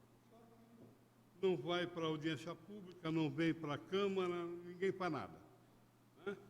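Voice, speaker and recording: A man talks at a very slow pace with a high pitch, ordinary pitch variation, and big swings in loudness. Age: 70s. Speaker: citizen speaking at public hearing. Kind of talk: public hearing statement. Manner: halting.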